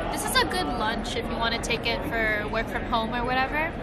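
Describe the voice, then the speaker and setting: Over clear music in the background, the speech moves at a fairly quick pace. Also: woman. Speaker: food vlogger. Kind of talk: casual food review chat.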